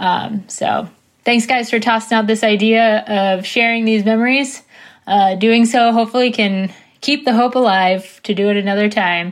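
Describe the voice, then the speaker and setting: Captured in a very clean recording with a silent background, a woman with an American accent and an ordinary speaking voice speaks at a moderate pace, her pitch fairly high, her intonation fairly even and her loudness very even. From Washington DC area. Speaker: listener sending a voice memo. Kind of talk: recorded voice memo.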